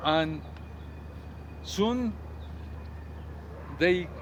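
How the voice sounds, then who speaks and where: A man speaks in a passionate tone. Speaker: tour guide and history teacher. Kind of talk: tour guide narration, casual talk to camera. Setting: outdoors at sunrise. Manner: passionate, conversational.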